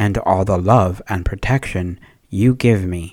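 A man with an unremarkable speaking voice and a fairly low pitch speaks fairly slowly with ordinary pitch variation, in a very clean recording with a silent background. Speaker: person praying. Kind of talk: spoken prayer, devotional. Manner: fervent, earnest.

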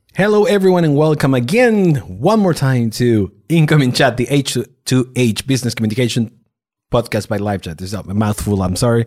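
With a non-native accent, a man speaks at a medium pitch and swings very widely in pitch. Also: fairly quick pace, very clean recording, silent background. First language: not English. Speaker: podcast host. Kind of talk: casual interview.

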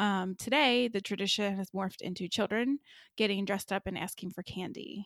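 Recorded very cleanly with a silent background, a woman with an ordinary speaking voice and medium pitch talks at a fairly quick pace with fairly even intonation. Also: dry, close sound with no echo. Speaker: podcast host. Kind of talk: casual chat.

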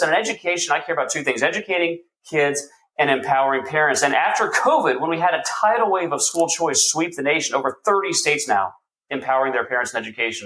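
A man with an American accent talks very fast in a high voice with a bright, sharp tone and very wide pitch swings. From Texas. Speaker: state legislator. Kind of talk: political interview. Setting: remote video call.

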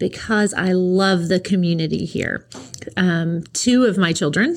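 This woman talks at a fairly slow pace. Her pitch varies in an ordinary way. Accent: Tennessee. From East Tennessee (near Knoxville), US South. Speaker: school principal. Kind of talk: interview. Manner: hesitant, many fillers.

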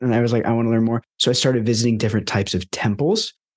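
A man at medium pitch is heard in a dry, close sound with no echo and a quiet background. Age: 20s. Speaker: holistic lifestyle coach and former monk. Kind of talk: casual interview chat.

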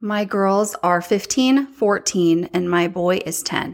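Speaking at a very slow pace, a woman with a medium-pitched voice is heard on a very clean recording with a silent background. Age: 30s. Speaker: podcast host and social media influencer. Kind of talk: casual personal monologue. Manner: animated.

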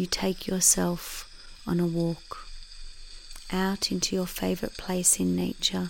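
A woman's gentle, calm tone, fairly slow and very even in loudness, with long, frequent pauses. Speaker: meditation guide. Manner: slow, gentle, calm, with long pauses.

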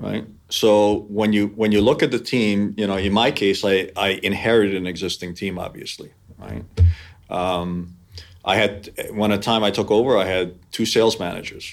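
A man at a moderate pace with fairly even intonation, over music in the background. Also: fairly low pitch for a man. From New York area (born in Hungary). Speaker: business executive. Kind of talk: interview.

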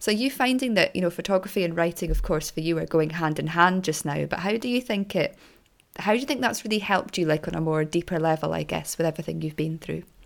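Using vocal fry and lively intonation, a woman talks at a very fast pace. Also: fairly low pitch for a woman. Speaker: podcast host. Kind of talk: interview, conversational.

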